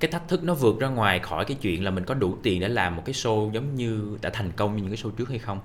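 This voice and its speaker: A man talks at a very fast pace with hardly any pauses and lively intonation. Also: fairly low pitch for a man. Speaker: content creator and host. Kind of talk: interview.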